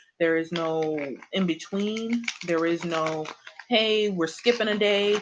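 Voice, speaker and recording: A very slow pace from a woman with a fairly low pitch. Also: ordinary pitch variation. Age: 20s. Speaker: tarot reader. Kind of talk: live stream chat. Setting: live stream. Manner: casual.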